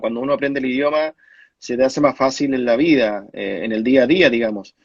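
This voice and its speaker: A man is talking at a moderate pace. He sits at a medium pitch. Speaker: former professional footballer. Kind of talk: interview. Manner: halting, many fillers.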